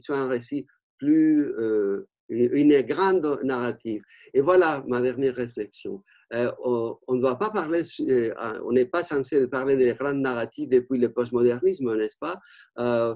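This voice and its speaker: Speaking fairly slowly with a Spanish accent, a man uses a dark, mellow tone at a medium pitch, with ordinary pitch variation and big swings in loudness. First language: Spanish (speaking French). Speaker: art history professor. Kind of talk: panel discussion. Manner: halting, many hesitations.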